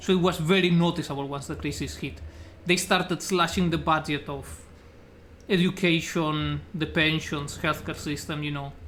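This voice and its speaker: The speaker has a strong Spanish accent. The pace is moderate. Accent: thick Spanish accent in English. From Spain, Extremadura (Cáceres). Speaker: streamer. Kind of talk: casual chat. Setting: live stream.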